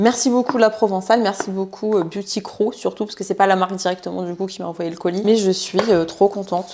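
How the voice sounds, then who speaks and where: A woman with a medium pitch talks at a fairly quick pace, noticeable background noise behind her. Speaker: vlogger and sports/nutrition coach. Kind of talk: casual vlog talk to camera. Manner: fast; animated, with many hesitations.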